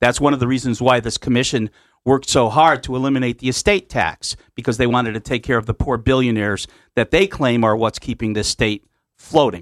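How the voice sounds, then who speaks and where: With an American accent, a man speaks in a normal speaking voice at medium pitch. His pace is fairly quick, with ordinary pitch variation over a quiet background. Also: dry, close sound with no echo. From Connecticut, US. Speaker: union official. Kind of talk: radio interview discussion. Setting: radio studio.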